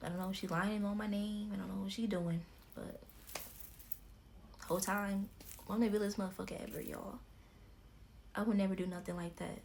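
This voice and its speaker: A woman of medium pitch talks at a fairly quick pace in a monotone, flat intonation, with long, frequent pauses. Audible room echo surrounds her voice. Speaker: YouTuber. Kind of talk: storytime vlog.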